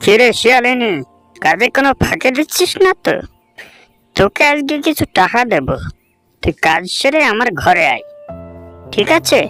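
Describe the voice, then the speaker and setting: A cartoonish character voice at a fairly high pitch swings very widely in pitch at a moderate pace over faint background music. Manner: haughty, scolding, contemptuous.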